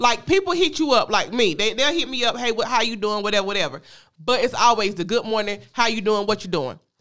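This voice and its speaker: Someone with a Southern US accent talks at a very fast pace on a very clean recording with a silent background. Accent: Southern US, informal dialect. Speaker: podcast host. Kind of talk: casual chat.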